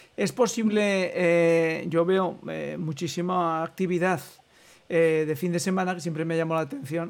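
Fairly even intonation at a moderate pace. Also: man. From Spain, Aragon (Huesca area). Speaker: radio host. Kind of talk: interview.

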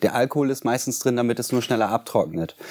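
This man's voice has a dark, mellow tone. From Germany, Bremen. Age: 40s. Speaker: cleaning company founder. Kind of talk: interview. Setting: studio.

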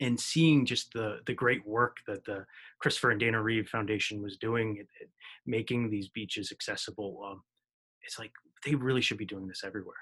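An ordinary speaking voice with an American accent moves at a moderate pace over a quiet background. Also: man. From New Jersey, US. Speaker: podcast host. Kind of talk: interview.

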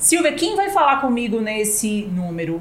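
A woman's fairly high voice with very wide pitch swings, against noticeable background noise. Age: middle-aged. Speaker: podcast co-host. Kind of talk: sponsor plug; casual chat.

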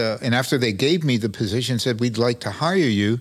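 With a Brooklyn accent, a man talks at a medium pitch with ordinary pitch variation. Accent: New York (Brooklyn). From New York City (Brooklyn). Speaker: town manager. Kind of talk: interview.

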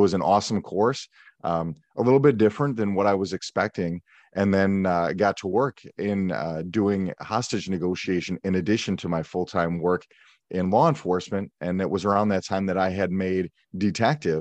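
With an American accent, a man speaks at a moderate pace in a very deep, low pitch with ordinary pitch variation, the sound dry and close with no echo over a quiet background. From US Midwest, Milwaukee, Wisconsin. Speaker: police negotiator. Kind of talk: interview conversation.

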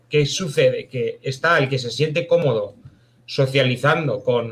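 A man talks at a fairly slow pace in a plain, everyday voice. His pitch is fairly high. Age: 30s. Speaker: novelist. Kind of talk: casual chat.

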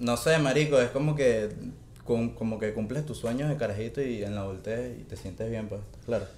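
The pace is moderate and the pitch varies in an ordinary way. Audible room echo can be heard. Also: man, medium pitch for a man. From Venezuela, Valencia. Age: 20s. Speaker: podcast guest. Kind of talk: casual chat.

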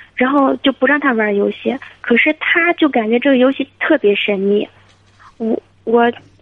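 A woman at a high pitch, moderate pace and ordinary pitch variation. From Hebei, China. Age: 30s. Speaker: caller, supermarket owner. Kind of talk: phone-in advice call.

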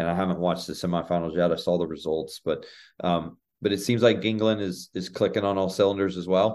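At a very fast pace, a man with an American accent speaks in a very deep, low pitch with fairly even intonation. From Oklahoma, near Tulsa. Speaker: college soccer head coach. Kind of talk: interview.

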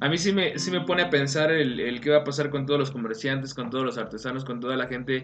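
Amid noticeable background noise and audible room echo, a man talks fairly quickly at a medium pitch with ordinary pitch variation. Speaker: folk dance teacher. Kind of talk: casual chat.

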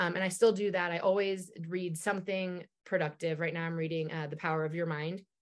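A woman is heard against a quiet background. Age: 40s. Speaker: sober lifestyle influencer. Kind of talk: casual chat. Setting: video call. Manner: fast; animated.

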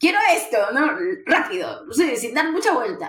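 At a fairly slow pace, a woman speaks with very wide pitch swings in a room with audible echo. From Peru. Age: 40s. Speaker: recruiter and career mentor. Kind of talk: casual interview.

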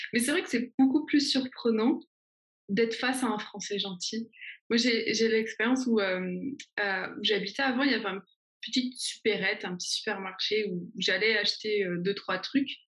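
Using an ordinary speaking voice, a woman talks at a moderate pace with a fairly high pitch and ordinary pitch variation. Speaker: YouTuber. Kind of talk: interview.

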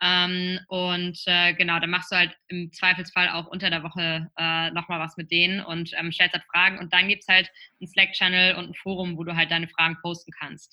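A woman with a fairly low, bright, sharp voice speaks at a moderate pace in a flat monotone, with hardly any pauses and big swings in loudness. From northern Germany, near Flensburg. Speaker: startup founder. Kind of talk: interview. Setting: remote recording. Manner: halting, many fillers. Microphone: connection froze briefly.

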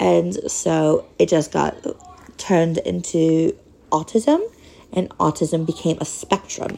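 Speaking very slowly with long, frequent pauses, a woman with an American accent keeps her loudness very even. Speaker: podcast host with ALS, former mental health worker. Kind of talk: casual monologue. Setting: home recording, in a wheelchair. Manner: rambling, halting.

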